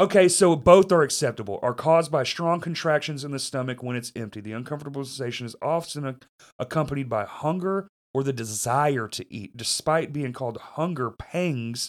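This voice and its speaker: With a Southern US accent, a man of medium pitch talks at a moderate pace with lively intonation and big swings in loudness, in a very clean recording with a silent background. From US South (Arkansas). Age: 30s. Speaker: podcast host. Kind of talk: casual chat. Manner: profane, swears constantly; laughs often.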